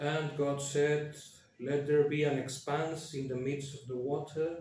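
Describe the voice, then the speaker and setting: Amid noticeable background noise and audible room echo, a man with a Spanish accent speaks. His pitch is fairly high, his pace fairly slow and his intonation monotone and flat. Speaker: YouTuber. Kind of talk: casual commentary with reading aloud. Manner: hesitant, many fillers.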